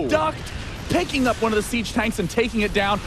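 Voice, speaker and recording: With music in the background, a man talks very fast at an extremely high pitch, his intonation lively. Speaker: esports shoutcaster. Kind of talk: live game commentary. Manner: excited, fast.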